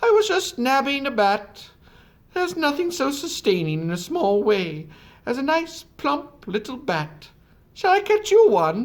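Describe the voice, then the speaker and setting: A put-on character voice, high in pitch with very wide pitch swings, at a moderate pace in a very clean recording with a silent background. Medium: read story. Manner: brisk, hooting.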